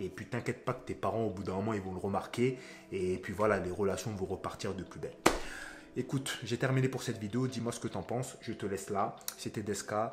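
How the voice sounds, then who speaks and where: Music plays behind a man talking at a fairly quick pace. His voice is fairly low, with fairly even intonation. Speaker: relationship coach, youtuber. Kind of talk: advice monologue to camera. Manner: casual, conversational.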